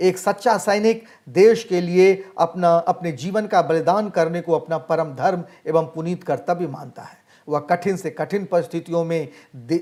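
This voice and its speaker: Ordinary pitch variation runs through a voice of dark, mellow tone. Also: man. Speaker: Hindi teacher. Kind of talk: lecture. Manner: formal.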